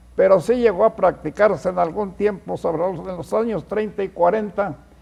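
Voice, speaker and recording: With lively intonation, a man's voice sits high in pitch. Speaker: veteran police reporter. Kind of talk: TV panel discussion.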